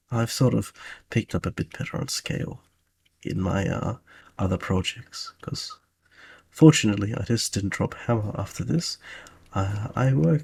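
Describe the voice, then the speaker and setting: A somewhat breathy man speaks at a moderate pace, leaving long, frequent pauses. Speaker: video game level designer. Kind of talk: tutorial. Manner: soft-spoken; halting.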